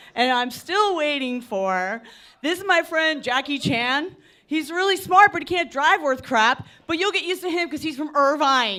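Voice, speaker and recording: In a Philadelphia accent, a woman projects a raised, high voice with a bright, sharp tone and lively intonation at a moderate pace. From Philadelphia, US. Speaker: comedian. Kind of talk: stand-up. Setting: stage with audience. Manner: loud.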